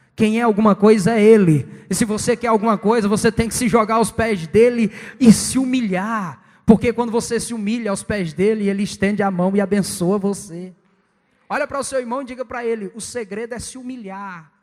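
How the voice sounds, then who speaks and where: In a very clean recording with a silent background, a man with a high voice speaks at a fairly quick pace, his intonation fairly even but his loudness swinging widely. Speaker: evangelist preacher. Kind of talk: sermon. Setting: church with congregation. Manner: fast.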